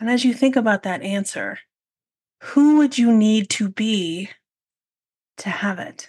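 Here a woman speaks at a fairly slow pace with long, frequent pauses. Her voice is fairly high in pitch and somewhat breathy. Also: ordinary pitch variation. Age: 40s. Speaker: podcast host and photography business coach. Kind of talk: solo podcast monologue.

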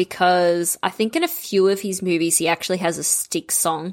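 Moving at a fairly quick pace with fairly even intonation, this is a plain, everyday voice. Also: woman. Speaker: podcast host. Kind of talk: casual chat.

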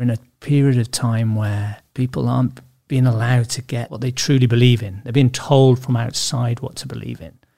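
With a Welsh accent, a man speaks at a medium pitch and a fairly quick pace in a dark, mellow, somewhat breathy tone, his intonation fairly even and his loudness swinging widely. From Wales. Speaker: podcast host, subconscious therapist. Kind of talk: interview. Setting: studio.

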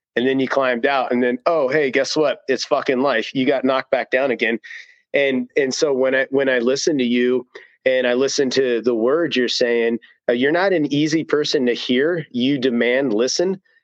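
A man speaks in an unremarkable speaking voice at medium pitch and a moderate pace. His loudness is very even and his intonation fairly even. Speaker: author and co-host. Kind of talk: casual chat.

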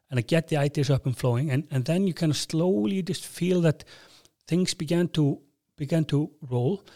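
The speaker is a man with a fairly high pitch. He talks with an Icelandic accent. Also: ordinary pitch variation, moderate pace, dry, close sound with no echo. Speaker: airline CEO and rock drummer. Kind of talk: interview. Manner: halting.

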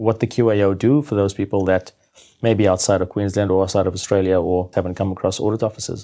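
A man's fairly low, dark and mellow voice at a very fast pace, with fairly even intonation. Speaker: podcast co-host. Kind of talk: interview.

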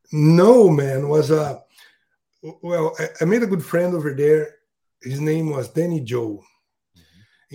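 A man speaks in a somewhat breathy voice with a dark, mellow tone and ordinary pitch variation. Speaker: custom fishing lure maker. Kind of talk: podcast interview. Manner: halting.

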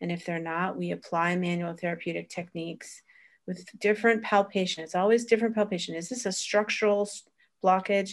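A woman of medium pitch talks at a fairly quick pace with fairly even intonation in a normal speaking voice. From Florida, US. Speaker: osteopathic practitioner and teacher. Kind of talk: interview.

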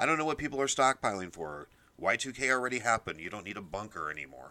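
The man has an American accent and a bright, sharp tone. He talks at a very fast pace. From US Midwest. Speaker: political podcast host. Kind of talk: solo political commentary.

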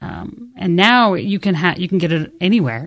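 A woman's ordinary speaking voice with an American accent, at a moderate pace with ordinary pitch variation. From Idaho, Treasure Valley (Canyon County). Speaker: TV station general manager. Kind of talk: radio interview.

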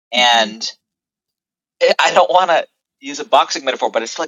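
Lively intonation marks a man talking at a fairly quick pace. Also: long, frequent pauses, big swings in loudness. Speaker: artist. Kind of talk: casual chat.

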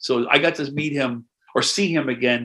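This man speaks with an American accent. His tone is bright and sharp. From US Midwest, Knox County, Illinois. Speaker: jazz drummer. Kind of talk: casual chat.

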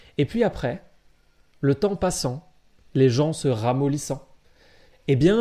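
On a very clean recording with a silent background, a man speaks at a fairly slow pace. His voice is fairly high, dark and mellow, with ordinary pitch variation. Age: 20s. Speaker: podcast co-host. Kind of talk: casual chat. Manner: emphatic, stresses certain words.

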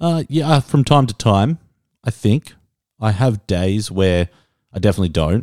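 A man with an Australian accent talks at a moderate pace in a fairly low pitch, with very wide pitch swings and long, frequent pauses. The recording is very clean with a silent background and a dry, close sound with no echo. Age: 30s. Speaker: podcast host. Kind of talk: casual chat.

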